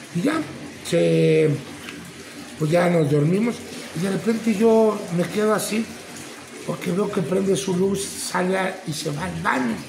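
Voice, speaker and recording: Against noticeable background noise, a man with a high pitch talks at a fairly slow pace, with long, frequent pauses. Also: ordinary pitch variation. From Mexico. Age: 50s. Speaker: retired professional wrestler. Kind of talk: interview testimony. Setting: at the guest's place. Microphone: phone near.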